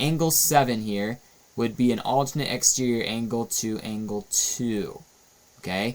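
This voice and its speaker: A man's normal speaking voice at medium pitch with ordinary pitch variation. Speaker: math teacher. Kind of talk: tutorial.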